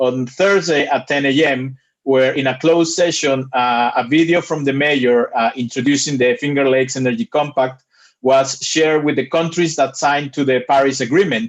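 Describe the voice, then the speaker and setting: Against a quiet background, a man with an unremarkable speaking voice talks with fairly high pitch and fairly even intonation. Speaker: climate initiative presenter. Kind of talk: presentation to a committee.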